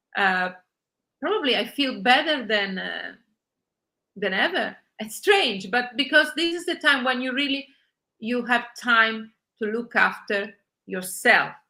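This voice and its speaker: Speaking slowly with long, frequent pauses, a woman with an Italian accent uses a high pitch, a bright, sharp tone and lively intonation. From Italy. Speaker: journalist and online magazine founder. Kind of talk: interview. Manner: halting, many filler sounds.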